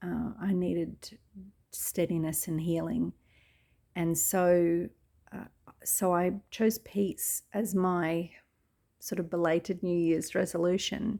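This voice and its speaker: At a very slow pace with long, frequent pauses, a woman speaks in a fairly low pitch and a dark, mellow tone, her intonation fairly even, in a very clean recording with a silent background. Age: 60s. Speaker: lifestyle vlogger. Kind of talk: personal reflective talk. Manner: halting with many fillers.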